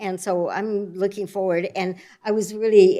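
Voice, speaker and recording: In an American accent, a woman speaks at a medium pitch with a dark, mellow tone. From US West Coast (Oregon, Northern California). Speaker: new library board member. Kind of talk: self-introduction at a public board meeting. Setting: city library board meeting.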